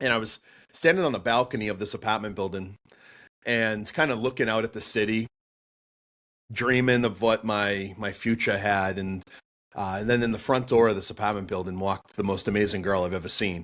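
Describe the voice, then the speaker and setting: On a very clean recording with a silent background, a man with a Boston accent speaks in an animated tone at a fairly quick pace. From Boston, US. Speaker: pastor and apologetics speaker. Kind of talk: podcast interview, telling his testimony. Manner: animated storytelling with many fillers.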